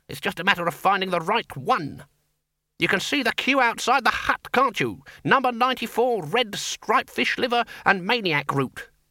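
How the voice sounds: The voice is a put-on character voice. Its tone is bright and sharp. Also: man, high pitch for a man, lively intonation, moderate pace.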